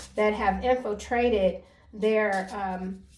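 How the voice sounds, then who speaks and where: A woman's voice is heard with audible room echo. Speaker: tarot card reader. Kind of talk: tarot reading monologue. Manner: halting, self-admitted stuttering.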